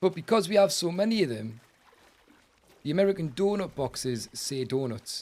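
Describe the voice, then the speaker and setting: A high-pitched man speaks at a moderate pace in an animated tone with very wide pitch swings. He leaves long, frequent pauses. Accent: British. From England. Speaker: gaming streamer. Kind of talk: live gameplay commentary with chat. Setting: live stream.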